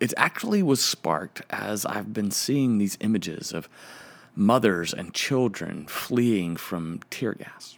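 Recorded very cleanly against a silent background, a man uses an ordinary speaking voice, fairly low in pitch with ordinary pitch variation. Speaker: podcast host and preacher. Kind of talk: reflective solo monologue, reading liturgy aloud.

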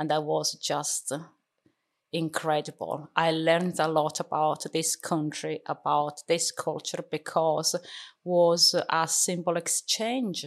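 A woman with an Italian accent speaks at a very slow pace with a very deep, low pitch. Her intonation is fairly even against a quiet background. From Sicily, Italy (Catania). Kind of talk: interview. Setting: studio.

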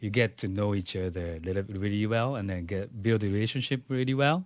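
Over a quiet background, a man with a Japanese accent talks at a fairly quick pace, his fairly low voice showing ordinary pitch variation. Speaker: pastor. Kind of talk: casual interview testimony. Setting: studio. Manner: halting.

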